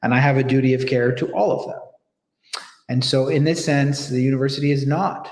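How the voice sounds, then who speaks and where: An American-accented man speaks at a fairly quick pace and medium pitch, somewhat breathy. There is audible room echo. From United States. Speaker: professor. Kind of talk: panel discussion. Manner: hesitant, many fillers and repetitions.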